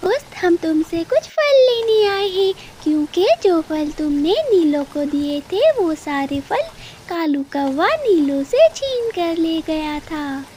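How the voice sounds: A woman puts on a cartoonish character voice, extremely high-pitched with lively intonation. She goes at a fairly slow pace over clear background noise.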